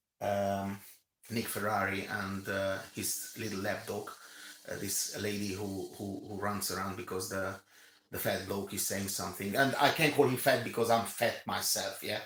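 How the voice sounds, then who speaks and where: A man with a fairly low voice talks at a moderate pace in fairly even intonation, and room echo is audible. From Romania. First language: not English (English is third language). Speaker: commentator. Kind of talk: rant. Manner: halting, many fillers and repetitions.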